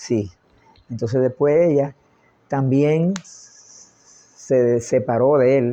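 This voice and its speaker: A man talks at a very slow pace in a medium pitch. His tone is dark and mellow, with ordinary pitch variation. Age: 80s+. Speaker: family elder recounting life story. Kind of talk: oral history interview. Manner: halting, repeats words.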